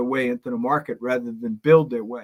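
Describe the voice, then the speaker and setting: Over a silent background in a very clean recording, a man with an unremarkable speaking voice talks at a moderate pace, his fairly high pitch showing ordinary variation. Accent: American. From New York. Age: 60s. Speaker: business consultant. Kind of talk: podcast interview.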